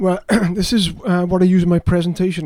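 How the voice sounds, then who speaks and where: This man speaks with a Welsh accent and a high pitch for a man. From South Wales. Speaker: fantasy author. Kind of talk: casual interview chat. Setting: studio.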